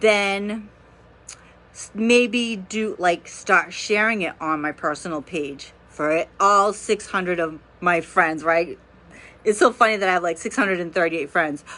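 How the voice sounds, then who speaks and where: A woman's bright, sharp tone at medium pitch, with ordinary pitch variation and a fairly slow pace, against a quiet background. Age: 40s. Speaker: oracle card reader livestreamer. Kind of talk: casual livestream monologue.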